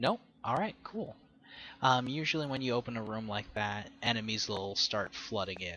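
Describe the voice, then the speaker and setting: The pace is moderate. Pitch variation is ordinary. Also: man, medium pitch for a man. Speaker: gaming video creator. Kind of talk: let's play gameplay commentary. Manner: halting. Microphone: poor audio quality.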